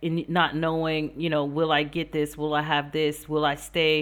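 Flat and monotone, a woman with an American accent speaks at a moderate pace in a very deep, low pitch. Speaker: podcast host, life and business coach. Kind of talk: interview podcast.

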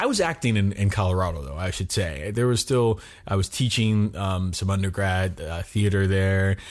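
A man with an American accent speaks in a plain, everyday voice at a moderate pace. His pitch is fairly low with ordinary variation, on a very clean recording with a silent background. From US, Miami, Florida. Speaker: actor. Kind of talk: interview.

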